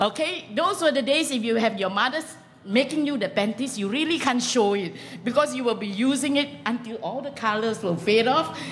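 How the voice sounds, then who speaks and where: A woman's fairly high voice, very wide pitch swings, moderate pace, light background noise. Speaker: comedian, former lecturer. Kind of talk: stand-up comedy. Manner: animated, self-deprecating. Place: stage.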